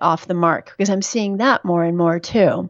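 With an American accent, a woman at medium pitch speaks in a normal speaking voice with ordinary pitch variation. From New York City. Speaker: physician and midwife. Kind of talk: interview.

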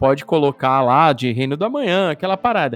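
With music in the background, a man speaks with lively intonation in a dry, close sound with no echo. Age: 40s. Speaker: podcast host. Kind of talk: casual chat.

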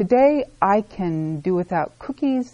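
Speaking in a dark, mellow tone with an American accent, a woman keeps a medium pitch and makes very wide pitch swings. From Sacramento, California. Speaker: recovery group member sharing story. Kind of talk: testimony. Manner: casual, hesitant with fillers.

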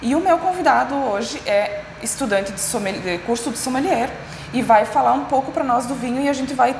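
A woman's fairly high-pitched voice with lively intonation at a moderate pace, amid noticeable background noise and audible room echo. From Rio Grande do Sul, Serra Gaúcha. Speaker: podcast host, graphic designer. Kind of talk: casual chat. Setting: on location at a culinary school.

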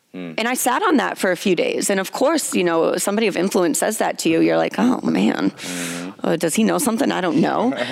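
A woman talks at a fairly quick pace. Noticeable background noise runs beneath her voice. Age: 20s. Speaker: gym co-owner. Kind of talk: casual chat. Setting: gym.

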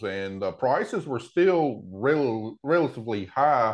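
A man with a Tennessee accent, medium pitch with very wide pitch swings, at a fairly slow pace against a quiet background. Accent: Southern US (Tennessee). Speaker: row crop farmer. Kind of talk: casual interview.

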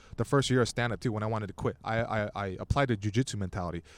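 Speaking very fast with an American accent, a man comes through on a very clean recording with a silent background. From Southern California, Torrance. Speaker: stand-up comedian. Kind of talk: casual chat. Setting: outdoors at a beach.

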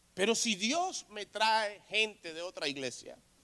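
This voice belongs to a man. He raises and projects it as he talks. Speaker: pastor. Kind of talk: sermon.

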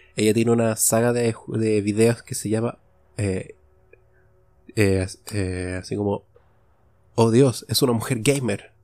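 A man with a Chilean accent, fairly slow with long, frequent pauses and fairly even intonation. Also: medium pitch for a man. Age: 20s. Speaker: podcaster. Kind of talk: solo monologue podcast. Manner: casual, improvised with frequent repetitions.

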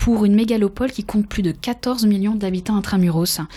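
The recording is very clean, with a silent background. A woman speaks at a medium pitch in a dark, mellow tone. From France. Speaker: podcast host, professional trainer. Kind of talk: interview.

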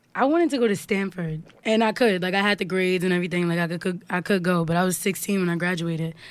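A woman with a New York accent talks very fast with hardly any pauses and ordinary pitch variation. The recording is very clean, with a silent background. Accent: New York, Harlem. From Harlem, New York. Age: 20s. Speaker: singer and songwriter. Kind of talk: casual interview chat.

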